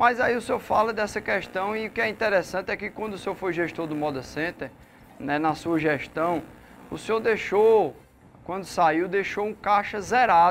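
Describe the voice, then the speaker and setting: A man talks at a moderate pace in a high voice. His pitch varies in an ordinary way. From Santa Cruz do Capibaribe, Pernambuco. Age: 40s. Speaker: mayoral candidate, businessman. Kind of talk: political debate. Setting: radio/online studio.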